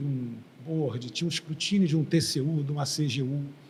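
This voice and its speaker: Here a man has a normal speaking voice at a fairly high pitch. He keeps a moderate pace. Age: 60s. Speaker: engineer and former oil company executive. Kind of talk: interview. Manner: conversational.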